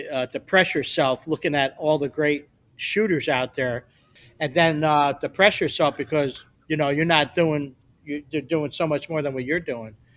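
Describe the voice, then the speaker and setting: On a very clean recording with a silent background, a man talks at a moderate pace. He has a normal speaking voice, fairly high in pitch, with fairly even intonation. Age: 60s. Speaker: photographer. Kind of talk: casual chat.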